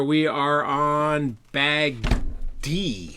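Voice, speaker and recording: A man speaks with a fairly high pitch. His tone is bright and sharp. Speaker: RC hobby livestreamer. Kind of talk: live build stream. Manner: casual, chatty.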